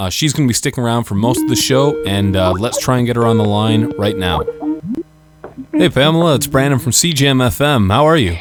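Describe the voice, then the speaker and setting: Music plays in the background as a man speaks fairly quickly with lively intonation and very even loudness. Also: medium pitch for a man. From Canada, Windsor Ontario. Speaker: radio host. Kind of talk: radio interview.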